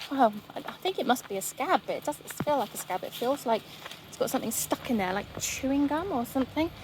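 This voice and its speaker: Quiet and at a fairly quick pace, a woman with a high pitch speaks with lively intonation over noticeable background noise. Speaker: vlogger. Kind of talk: casual walking vlog. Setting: outdoors by the sea.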